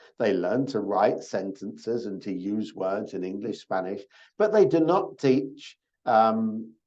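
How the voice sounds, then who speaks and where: His intonation rises and falls in a lively way. The man speaks very slowly. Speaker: program orientation presenter. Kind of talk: online orientation talk. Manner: slow and repetitive.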